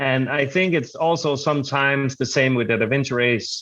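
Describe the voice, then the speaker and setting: Speaking with a Danish accent, a man with a fairly high voice keeps a moderate pace and fairly even intonation. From Denmark. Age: 30s. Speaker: adventure racer. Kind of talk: interview. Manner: halting.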